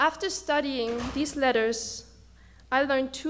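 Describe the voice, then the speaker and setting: Over noticeable background noise, a woman talks in a high pitch with a German accent and ordinary pitch variation. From Germany. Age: 20s. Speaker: student speaker. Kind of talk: speech. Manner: halting.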